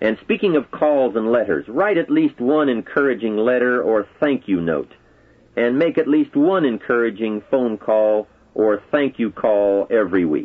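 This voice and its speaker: A man with a normal speaking voice talks at a moderate pace, using lively intonation and very even loudness. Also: medium pitch for a man. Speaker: motivational speaker. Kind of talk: motivational speech.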